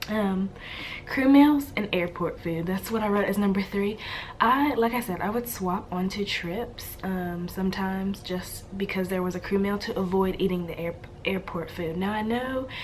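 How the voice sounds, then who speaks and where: Over noticeable background noise, a woman talks at a moderate pace and medium pitch, her pitch varying in an ordinary way. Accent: American. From Louisiana, USA. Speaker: flight attendant. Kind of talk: casual talk to camera.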